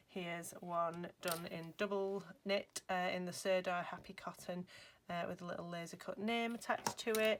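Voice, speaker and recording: A woman's Lancashire accent, medium pitch and cheerful tone, at a moderate pace with fairly even intonation. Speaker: crochet designer. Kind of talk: crochet tutorial talk to camera. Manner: chatty, cheerful.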